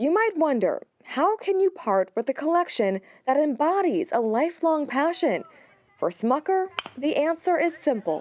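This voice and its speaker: A woman talks at a moderate pace in a high pitch with very wide pitch swings, the sound dry and close with no echo. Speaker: TV news reporter. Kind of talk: TV news report narration.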